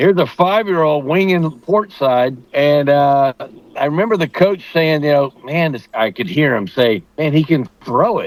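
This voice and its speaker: With an American accent, a man speaks in an unremarkable speaking voice, fairly high in pitch, at a moderate pace with lively intonation. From United States, military family moving around. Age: 60s. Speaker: former pro baseball player. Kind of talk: casual interview.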